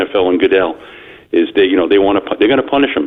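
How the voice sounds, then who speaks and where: Speaking with a Long Island accent, a man talks. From Long Island, New York. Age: 60s. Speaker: caller. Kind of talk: sports talk call-in. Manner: halting, many fillers.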